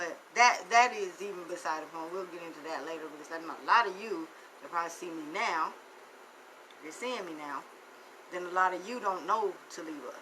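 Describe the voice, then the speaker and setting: A woman's fairly low voice in an animated tone at a fairly quick pace, with big swings in loudness, long, frequent pauses, audible room echo and noticeable background noise. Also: ordinary pitch variation. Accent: Southern. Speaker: financial motivational speaker. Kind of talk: live stream monologue.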